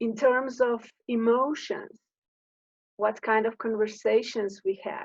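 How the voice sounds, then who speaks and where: A woman with a Slovenian accent speaks at a very slow pace. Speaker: coach on high sensitivity. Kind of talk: informal talk to camera. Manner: halting.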